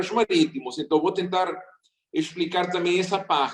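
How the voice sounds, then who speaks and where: A man speaks with a non-native accent. His voice is high-pitched with ordinary pitch variation. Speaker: seminar speaker on maritime labor. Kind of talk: seminar talk.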